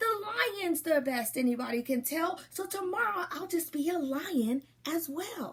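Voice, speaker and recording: Using a put-on character voice, a woman talks at a moderate pace with extremely high pitch. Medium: read story. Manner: playful, pleased with himself.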